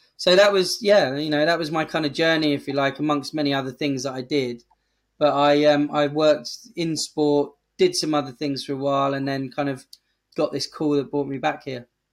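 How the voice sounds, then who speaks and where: The speaker has an English accent and talks at a fairly quick pace with fairly even intonation. The recording is very clean, with a silent background. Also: man, fairly high pitch for a man. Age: 40s. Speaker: charity chief executive. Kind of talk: interview.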